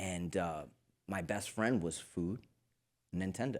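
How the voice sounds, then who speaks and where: This man's pitch is very deep and low. He talks at a very slow pace. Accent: Spanish. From Queens, New York. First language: Spanish. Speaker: fitness coach. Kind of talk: interview.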